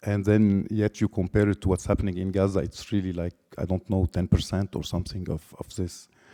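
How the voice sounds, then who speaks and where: A man with a Lebanese accent talks at a fairly quick pace with hardly any pauses. His very deep, low pitch carries a dark, mellow tone and monotone, flat intonation. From Lebanon. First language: Lebanese Arabic. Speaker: artist. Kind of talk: artist talk. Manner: halting.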